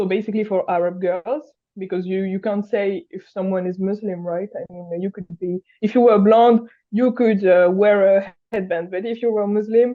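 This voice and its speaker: Speaking with a French accent, a woman talks at a moderate pace. Her pitch is medium and her intonation fairly even. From France. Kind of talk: interview. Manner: halting, many fillers.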